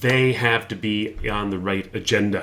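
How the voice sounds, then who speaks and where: In a Canadian accent, a man speaks with a bright, sharp tone, a fairly low pitch and fairly even intonation. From Canada. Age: 60s. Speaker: interviewer. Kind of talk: interview. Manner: halting, many fillers.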